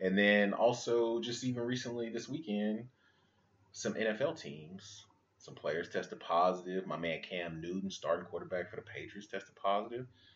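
With a plain, everyday voice, a man speaks at a moderate pace and a fairly low pitch, his intonation lively and his loudness swinging widely. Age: 30s. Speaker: podcast host, father. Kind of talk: casual chat.

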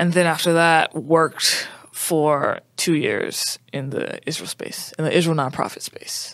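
With an American accent, a woman speaks at a fairly slow pace in a fairly low pitch, her intonation fairly even, with hardly any pauses, in an ordinary speaking voice. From US South, New Orleans, Louisiana. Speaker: curriculum designer, educator. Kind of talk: casual interview.

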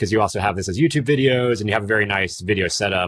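The recording is very clean, with a silent background. A man with an American accent and an ordinary speaking voice talks at a fairly low pitch, with lively intonation. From Miami. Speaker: podcast host. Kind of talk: casual interview.

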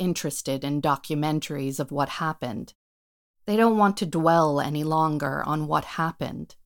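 With an American accent, a woman speaks at a moderate pace in a very deep, low pitch. Her pitch varies in an ordinary way, on a very clean recording with a silent background. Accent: American-sounding, like a tourist. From United States. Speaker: performer and writer. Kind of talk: scripted monologue performance.

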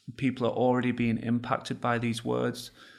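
The voice belongs to a man with an English accent. It is medium in pitch. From England. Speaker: podcast host. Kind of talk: interview.

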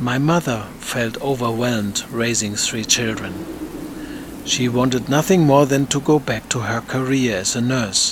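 Amid noticeable background noise, a man with a German accent talks at a fairly slow pace with ordinary pitch variation. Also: medium pitch for a man. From Germany. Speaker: theater director and podcast host. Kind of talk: scripted narration.

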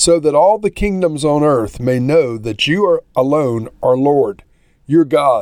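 He has a plain, everyday voice at a fairly high pitch. His pace is fairly slow and his intonation lively. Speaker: pastor. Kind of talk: scripture reading aloud; fervent prayer read from scripture. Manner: measured, reverent.

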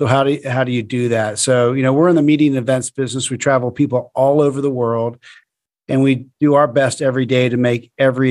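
This man talks at a very fast pace with an American accent and an enthusiastic tone. His pitch is medium, and the background is quiet. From Florida. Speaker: hospitality company founder. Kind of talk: interview.

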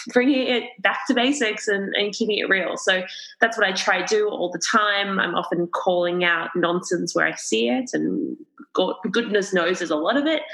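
A woman's unremarkable speaking voice at medium pitch and moderate pace, with lively intonation. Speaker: dietitian and nutritionist. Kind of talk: casual chat. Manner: open, laughs often.

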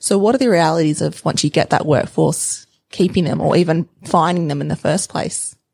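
A woman with a fairly low pitch speaks at a moderate pace, her pitch varying in an ordinary way. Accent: Australian. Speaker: podcast host. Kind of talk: interview.

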